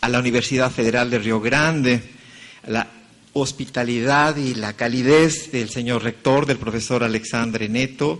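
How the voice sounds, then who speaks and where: A man talks at a fairly slow pace with a medium pitch and fairly even intonation. Noticeable background noise sits behind him. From Mexico. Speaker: conference speaker. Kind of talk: lecture.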